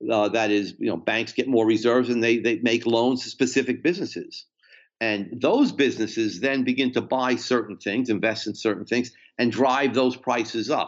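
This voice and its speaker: A medium-pitched man with a New Jersey accent at a moderate pace. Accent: New Jersey American. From US Northeast, New Jersey. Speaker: economics professor. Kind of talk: interview about economics. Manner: repetitive stammering.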